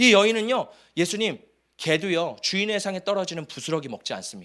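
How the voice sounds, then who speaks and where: In a very clean recording with a silent background, a man with a high pitch talks very fast in an animated tone with lively intonation. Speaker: pastor. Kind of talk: sermon. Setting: church.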